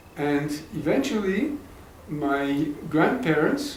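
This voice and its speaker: A man at a fairly high pitch, with noticeable background noise and audible room echo. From Egypt, Cairo. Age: 70s. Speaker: interviewee recounting family history. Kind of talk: oral history interview. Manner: halting, repeats words.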